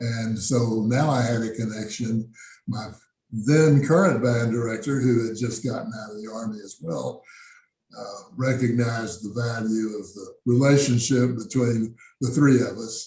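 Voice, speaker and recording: With an American accent, a man speaks at a fairly slow pace and a medium pitch. His tone is dark and mellow, somewhat breathy, with big swings in loudness. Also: fairly even intonation. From South Texas. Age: 80s+. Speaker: jazz musician. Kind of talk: interview. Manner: halting.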